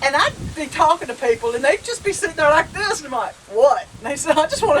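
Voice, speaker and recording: Over noticeable background noise, a woman with a Southern US accent speaks in a high pitch at a very fast pace. Her tone is animated, with very wide pitch swings. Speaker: homestead vlogger. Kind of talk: casual chat. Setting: outdoors on front porch. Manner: animated storytelling.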